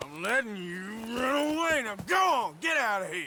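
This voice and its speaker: A man in a put-on character voice shouts in a raised, projected voice at an extremely high pitch, with very wide pitch swings. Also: moderate pace. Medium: video game. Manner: gruff, blunt.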